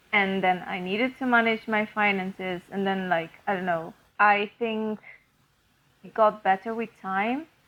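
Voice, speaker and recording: A woman with a non-native accent speaks at a fairly slow pace, with big swings in loudness. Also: medium pitch for a woman, fairly even intonation. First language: not English. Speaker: podcast co-host. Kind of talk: casual chat. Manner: many fillers and restarts.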